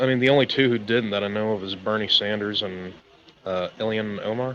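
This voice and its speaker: With an American accent, a man speaks at a fairly quick pace in a fairly low pitch and fairly even intonation. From US South. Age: 20s. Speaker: caller. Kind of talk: casual debate.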